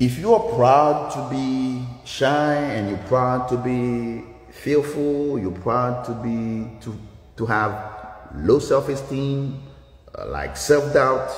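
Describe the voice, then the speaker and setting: A man with a Haitian accent speaks at a medium pitch and a very slow pace, with ordinary pitch variation and big swings in loudness. Noticeable background noise and audible room echo fill the recording. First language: Haitian Creole. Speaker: dance instructor. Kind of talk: motivational livestream talk. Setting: livestream from dance studio.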